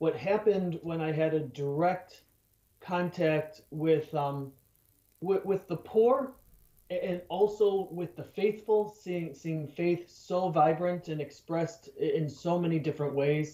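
Here a man speaks very slowly with an American accent, his voice high yet dark and mellow in tone, with ordinary pitch variation. The background is quiet, though room echo is audible. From Chicago area, US Midwest. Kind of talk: radio interview. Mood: earnest, warm. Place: home room. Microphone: webcam.

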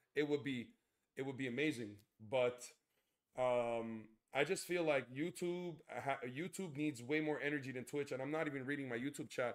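With a quiet background, a man talks at a moderate pace using ordinary pitch variation. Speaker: gaming streamer. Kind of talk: live stream chat. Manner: loud; animated. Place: home room.

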